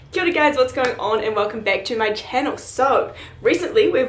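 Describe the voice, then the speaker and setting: A woman's high, lively voice in a New Zealand accent, fairly quick, with audible room echo and noticeable background noise. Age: 20s. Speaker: student vlogger. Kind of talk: casual vlog Q&A.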